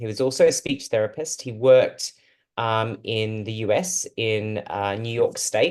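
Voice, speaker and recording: A man with an Australian accent speaks at a fairly slow pace with lively intonation. The background is quiet. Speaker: speech therapist and researcher. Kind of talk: talk to a support group. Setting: video call. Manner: hesitant, with fillers.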